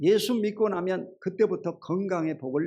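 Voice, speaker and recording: A man speaks at a fairly slow pace. His voice is high in pitch. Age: 60s. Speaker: pastor. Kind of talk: sermon.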